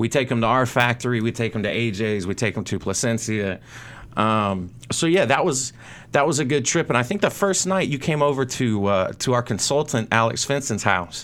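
In an American accent, a man with a medium pitch and an unremarkable speaking voice talks at a moderate pace. His intonation is lively, and the recording is very clean with a silent background. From North Carolina. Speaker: cigar brand manager. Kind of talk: casual chat. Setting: studio.

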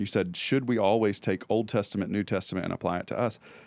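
Fairly low in pitch, a man talks at a very fast pace with ordinary pitch variation on a very clean recording with a silent background. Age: 30s. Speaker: church podcast co-host. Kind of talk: casual chat. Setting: studio.

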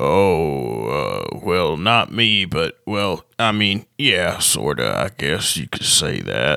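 A man puts on a raspy character voice with a very deep, low pitch and speaks very slowly. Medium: actual play. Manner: gruff, threatening, then rambling.

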